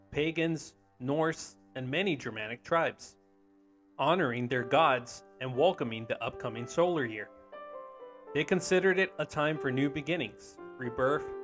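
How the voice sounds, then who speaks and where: Over music in the background, a man with a fairly high pitch talks at a moderate pace with lively intonation. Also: long, frequent pauses. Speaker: podcast host. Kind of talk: folklore narration.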